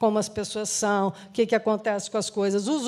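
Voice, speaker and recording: A woman speaks at a moderate pace in a normal speaking voice with a medium pitch. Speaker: social entrepreneur. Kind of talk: interview.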